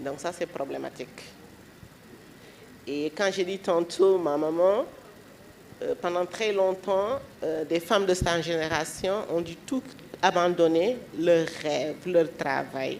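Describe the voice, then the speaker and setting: The speech moves at a very slow pace, broken by long, frequent pauses. Its pitch varies in an ordinary way. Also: woman, fairly low pitch for a woman. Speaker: panelist on feminist literature. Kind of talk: panel discussion.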